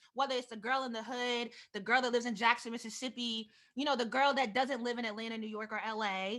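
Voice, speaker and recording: A woman speaks at a very fast pace in a high voice with a bright, sharp tone. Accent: East Coast American. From US East Coast, Delaware. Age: 30s. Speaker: author and vlogger. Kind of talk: keynote talk.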